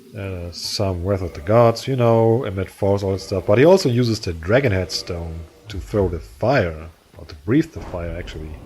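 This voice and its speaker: The speaker has a strong German accent and a moderate pace, with ordinary pitch variation. Loudness swings widely over noticeable background noise. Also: man, very deep, low pitch for a man. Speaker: gaming YouTuber. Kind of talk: gameplay commentary. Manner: animated.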